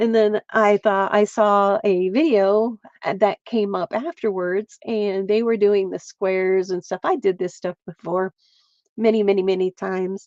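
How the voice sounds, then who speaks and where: A woman with an American accent has an unremarkable speaking voice at medium pitch, with fairly even intonation. She speaks at a fairly slow pace, and the sound is dry and close with no echo. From central Pennsylvania, US. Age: 60s. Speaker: crafter and livestreamer. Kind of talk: casual livestream craft chat.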